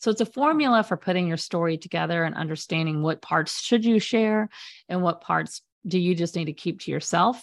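In a very clean recording with a silent background, a woman talks at a fairly quick pace and a fairly low pitch, with ordinary pitch variation. She has a normal speaking voice. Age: 50s. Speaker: media specialist and former journalist. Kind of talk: interview.

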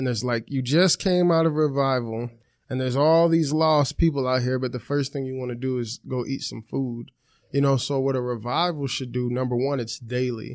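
An unremarkable speaking voice from a man, medium in pitch, with fairly even intonation. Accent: American. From Chicago area. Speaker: minister. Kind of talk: casual interview.

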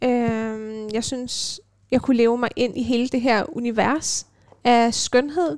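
A woman's fairly high-pitched voice with ordinary pitch variation, on a very clean recording against a silent background. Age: 20s. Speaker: radio host and violinist. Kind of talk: casual chat. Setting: student's room at a music dormitory.

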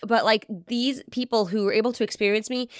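Delivered at a very fast pace, the speech has a dry, close sound with no echo in a very clean recording with a silent background. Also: woman. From English-speaking country, moved to Israel as a teenager. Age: 30s. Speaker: podcast host, business coach for moms. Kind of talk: solo podcast monologue. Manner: conversational, loosely organized.

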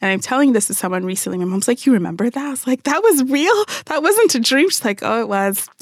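A woman with an American accent, high-pitched, very fast and with hardly any pauses, her pitch swinging very widely. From Phoenix, Arizona (born in Nigeria). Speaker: event planner and marketer. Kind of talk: radio interview panel. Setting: radio studio.

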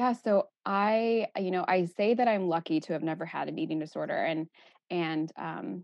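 At a moderate pace, a woman talks in an ordinary speaking voice with lively intonation. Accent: American. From Texas. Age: 30s. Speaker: eating disorder therapist. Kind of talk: casual interview.

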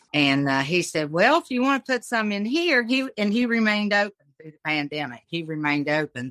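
Here a woman talks in an Appalachian accent at a moderate pace. Her tone is bright and sharp, with lively intonation. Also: dry, close sound with no echo. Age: 60s. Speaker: cottage food business owner. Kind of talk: casual interview.

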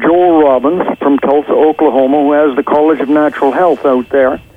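A fairly high-pitched man at a moderate pace, with noticeable background noise. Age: 70s. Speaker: author, former teacher. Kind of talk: interview answers. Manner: conversational, hesitant with fillers.

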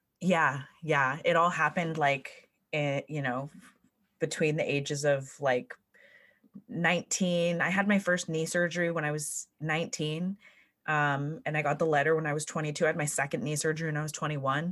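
A woman with a Californian accent speaks at a moderate pace in a very deep, low voice with fairly even intonation. The recording is very clean, with a silent background. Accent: Californian American. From US West, California (South Lake Tahoe). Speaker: life coach. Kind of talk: casual interview. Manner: frequent laughter.

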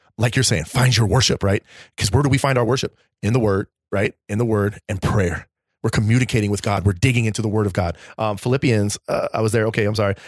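A man's fairly low, somewhat breathy, animated voice at a fairly quick pace with ordinary pitch variation, in a very clean recording with a silent background and a dry, close sound with no echo. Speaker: podcast host. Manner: animated, joking.

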